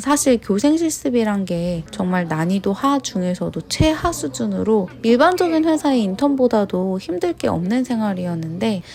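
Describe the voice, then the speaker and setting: Over noticeable background noise, a woman at a medium pitch speaks fairly slowly, her pitch swinging very widely. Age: 30s. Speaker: vlogger. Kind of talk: scripted narration.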